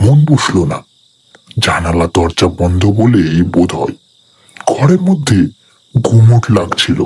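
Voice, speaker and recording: Using a put-on character voice, a man talks at a fairly slow pace with a fairly low pitch. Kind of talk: horror narration. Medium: read story. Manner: slow, atmospheric.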